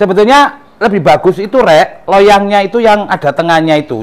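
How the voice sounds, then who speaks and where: In an East Javanese accent, a man speaks at a fairly quick pace with very wide pitch swings. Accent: East Javanese Indonesian. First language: Javanese (speaking Indonesian). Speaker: cooking vlogger. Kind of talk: cooking tutorial.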